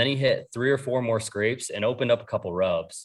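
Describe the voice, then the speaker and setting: In an American accent, a man talks with an ordinary speaking voice, at a moderate pace with ordinary pitch variation. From New York. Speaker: bow hunter. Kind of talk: casual chat.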